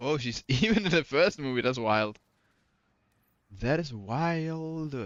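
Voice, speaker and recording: Speaking very slowly in a Danish accent, a man uses lively intonation in a fairly high voice. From Denmark. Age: adult. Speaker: video game streamer. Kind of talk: casual live-stream chat.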